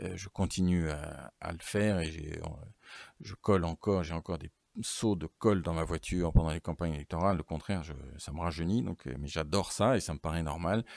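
A man with a very deep, low pitch speaks at a moderate pace with ordinary pitch variation, in a dry, close sound with no echo on a very clean recording with a silent background. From Normandy, France. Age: 50s. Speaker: regional politician and lawyer. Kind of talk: interview.

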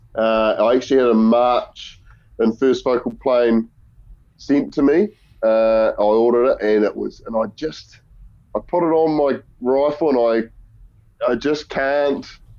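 Speaking with a New Zealand accent, a man at medium pitch moves at a fairly slow pace with long, frequent pauses. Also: ordinary pitch variation. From New Zealand, Murchison. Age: 30s. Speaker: former rugby player and hunting guide. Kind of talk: casual chat.

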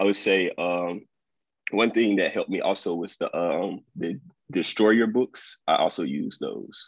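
Against a quiet background, a man with a Mississippi accent talks at a fairly slow pace. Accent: Southern US (Mississippi). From Mississippi, US South. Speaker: incoming dental student. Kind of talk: interview.

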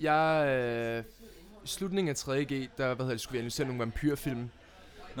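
A man talks moderately fast in a medium pitch, with ordinary variation in his pitch. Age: young. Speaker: film director and actor. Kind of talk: casual chat. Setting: studio.

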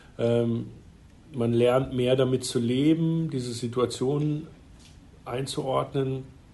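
This man's tone is dark and mellow, with monotone, flat intonation. He speaks at a very slow pace, and the room echo is audible. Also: medium pitch for a man. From Freiburg, southwest Germany. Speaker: ice hockey club managing director. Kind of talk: interview.

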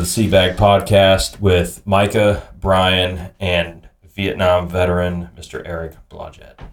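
Very slowly and with hardly any pauses, a man speaks in a very deep, low monotone whose loudness swings widely. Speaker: podcast host. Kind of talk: casual interview.

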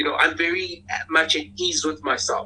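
Squeaky with a slightly husky edge, a man speaks at a fairly slow pace in a bright, sharp tone.

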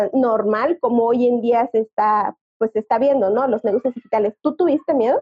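Using ordinary pitch variation, a woman speaks at a high pitch. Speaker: podcast host. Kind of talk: interview.

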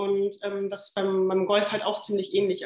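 A woman's voice, fairly high in pitch. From western Germany (Remscheid). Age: 30s. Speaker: football club general manager. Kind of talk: podcast interview.

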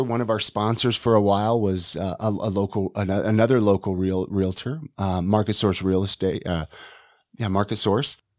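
A man with an American accent and an unremarkable speaking voice talks at a moderate pace in a fairly low pitch, with a dry, close sound and no echo. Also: very clean recording, silent background. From California, Ventura. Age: 40s. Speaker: podcast host and realtor. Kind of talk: casual interview, being interviewed. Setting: studio.

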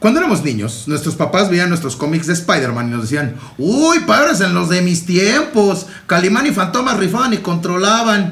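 An animated voice in a Mexican accent with very wide pitch swings, a moderate pace and hardly any pauses, plus audible room echo and noticeable background noise. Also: man, high pitch for a man. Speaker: podcast host. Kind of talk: casual chat.

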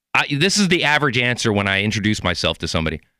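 A man's bright, sharp voice with very wide pitch swings and vocal fry, on a very clean recording with a silent background. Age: 40s. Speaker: podcast host. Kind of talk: casual chat. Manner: animated.

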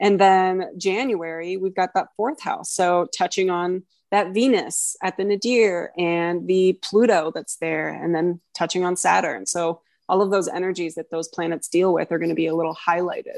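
In a dry, close sound with no echo and a quiet background, a woman with a plain, everyday voice talks at a moderate pace and a medium pitch, with fairly even intonation and hardly any pauses. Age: 20s. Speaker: guest co-host, astrologer. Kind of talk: casual chat.

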